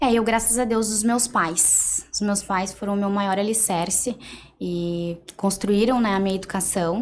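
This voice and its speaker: A woman's plain, everyday voice at a fairly slow pace, medium pitch and fairly even intonation. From Rio Grande do Sul, Brazil (Cacequi). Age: 20s. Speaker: entrepreneur, mentee. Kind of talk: interview podcast.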